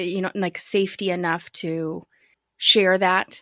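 Spoken at a fairly slow pace in an unremarkable speaking voice, the fairly even intonation comes through a dry, close sound with no echo on a very clean recording with a silent background. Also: woman. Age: 30s. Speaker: podcast host. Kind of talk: interview conversation.

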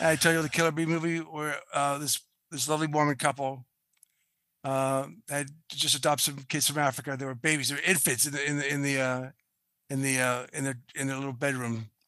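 Over a quiet background, a man with a Boston accent speaks fairly quickly in a fairly high, bright and sharp tone, his intonation flat and monotone. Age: 60s. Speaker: film and television production veteran. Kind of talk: interview.

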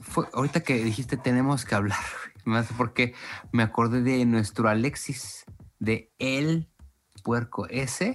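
A man with a Mexican accent speaks at a fairly slow pace, with medium pitch and long, frequent pauses. His intonation is fairly even and his loudness very even. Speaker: podcast co-host. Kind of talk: casual chat.

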